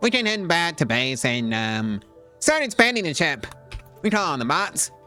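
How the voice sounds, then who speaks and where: A man is speaking. Music plays in the background. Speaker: gaming video creator. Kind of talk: casual gameplay commentary.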